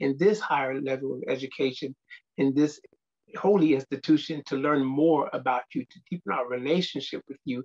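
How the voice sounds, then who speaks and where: Against a quiet background, a man talks at a moderate pace with ordinary pitch variation and big swings in loudness. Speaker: speaker. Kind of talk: scripture reading and prayer. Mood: reverent, earnest. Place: office. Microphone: webcam.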